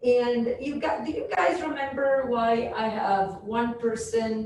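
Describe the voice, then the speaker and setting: A woman with a fairly high pitch speaks loudly, with ordinary pitch variation. Audible room echo and noticeable background noise surround her voice. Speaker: professor. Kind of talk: lecture.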